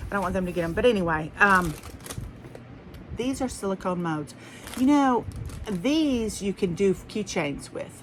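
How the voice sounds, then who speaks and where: A woman's medium-pitched voice at a moderate pace, lively intonation, long and frequent pauses, and noticeable background noise. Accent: Southern US. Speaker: haul vlogger. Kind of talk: casual chat. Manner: rambling, conversational.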